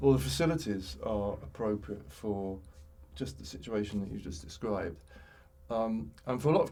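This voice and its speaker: A man's fairly low, somewhat breathy voice with a dark, mellow tone and very wide pitch swings. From West Midlands, England (Tipton, Wolverhampton). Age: 60s. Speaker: former cricketer. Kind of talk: interview conversation. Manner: halting, many fillers and repeats.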